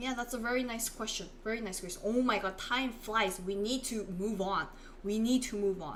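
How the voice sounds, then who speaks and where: A woman with a Korean accent speaks at a fairly high pitch, with audible room echo. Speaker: Korean language teacher. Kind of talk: live online language lesson.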